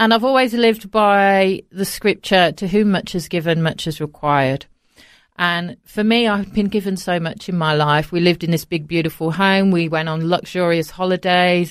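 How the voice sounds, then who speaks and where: A woman with a British accent speaks at a moderate pace in a fairly low voice with ordinary pitch variation, on a very clean recording with a silent background. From England, Coventry (Midlands). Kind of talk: interview. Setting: studio.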